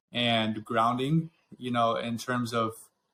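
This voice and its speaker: A bright, sharp voice in an American accent, monotone and flat in intonation, on a very clean recording against a silent background. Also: man. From Northern California. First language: Afrikaans. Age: 20s. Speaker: podcast host. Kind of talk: casual interview conversation.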